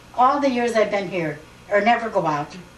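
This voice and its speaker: Amid audible room echo and noticeable background noise, a woman speaks at a moderate pace, fairly high in pitch, with lively intonation. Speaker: family elder interviewed for oral history. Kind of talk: oral history interview. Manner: halting.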